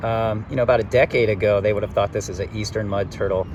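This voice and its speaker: A man's fairly low pitch comes through noticeable background noise. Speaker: wildlife YouTuber, turtle enthusiast. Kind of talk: outdoor field vlog narration. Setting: outdoors by a creek. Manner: quiet, hushed; casual, hesitant with fillers.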